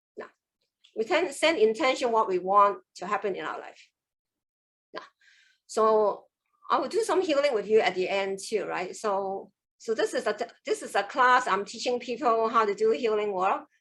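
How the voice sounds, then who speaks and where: With long, frequent pauses and big swings in loudness, a woman with a Cantonese accent talks at a moderate pace in a fairly high pitch. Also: lively intonation. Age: 60s. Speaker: qigong master. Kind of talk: online class. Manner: animated.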